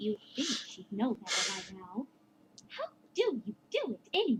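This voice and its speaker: A female-sounding, put-on character voice, fairly high in pitch, moves at a moderate pace. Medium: read story. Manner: elegant, dramatic.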